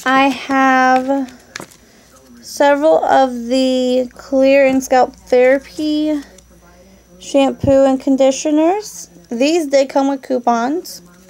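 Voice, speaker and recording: Over noticeable background noise, a woman with a high pitch and ordinary pitch variation speaks at a very slow pace with very even loudness. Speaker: couponing vlogger. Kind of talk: product show-and-tell vlog.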